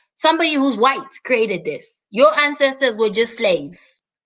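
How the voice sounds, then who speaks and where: Speaking at a fairly slow pace with a Zimbabwean accent, a woman uses a high pitch, ordinary pitch variation, and a bright, sharp, animated tone. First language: Shona. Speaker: YouTube host. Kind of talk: live stream monologue. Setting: live stream.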